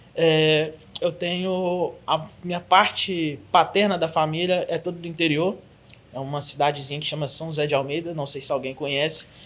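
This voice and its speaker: A man with a Belo Horizonte accent talks at a moderate pace. His pitch is fairly high and his intonation fairly even. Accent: noticeable mineiro (Belo Horizonte). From Brazil, Belo Horizonte (Minas Gerais). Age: 30s. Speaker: church ministry coordinator, preacher. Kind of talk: podcast interview.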